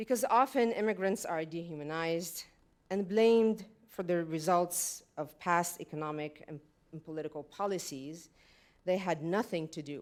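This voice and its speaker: In a very clean recording with a silent background, a woman with a slight French accent and fairly low pitch speaks at a moderate pace, with ordinary pitch variation and big swings in loudness. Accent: slight French-tinged. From Lebanon. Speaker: panel speaker on migration. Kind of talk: prepared speech. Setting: stage with audience.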